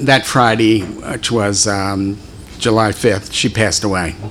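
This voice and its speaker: Fairly slow speech from a man with an American accent, with noticeable background noise behind him. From Philadelphia. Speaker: deacon. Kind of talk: talk to a church group.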